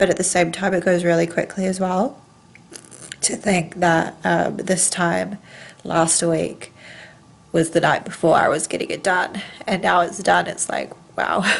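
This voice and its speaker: A woman talks at a fairly slow pace with vocal fry, a fairly low pitch and monotone, flat intonation, leaving long, frequent pauses. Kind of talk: casual vlog chat. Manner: blocked-nose voice after rhinoplasty. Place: home room. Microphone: phone near.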